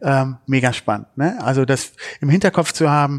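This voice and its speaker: A man talks at a medium pitch and a moderate pace with fairly even intonation in an ordinary speaking voice. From Düsseldorf, Germany. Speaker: podcast host. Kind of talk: interview.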